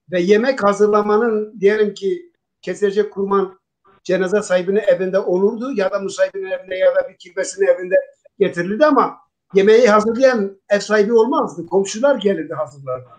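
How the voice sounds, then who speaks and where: Speaking at a fairly quick pace, a man with a high pitch uses ordinary pitch variation. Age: 60s. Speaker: Alevi religious leader. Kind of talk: talk show discussion.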